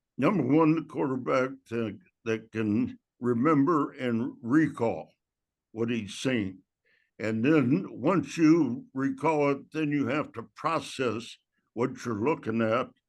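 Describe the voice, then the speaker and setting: Very slowly, a man talks in a medium pitch with ordinary pitch variation against a quiet background. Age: 80s+. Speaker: football coach. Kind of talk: interview. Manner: halting.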